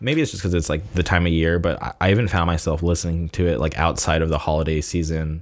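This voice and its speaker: In a very clean recording with a silent background, a man with a Californian accent talks at a fairly quick pace, his very deep, low voice held to fairly even intonation. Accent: Californian American. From Southern California, La Quinta near Palm Springs. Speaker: podcast host. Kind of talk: casual solo monologue. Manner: slight stutter; casual, filler-heavy.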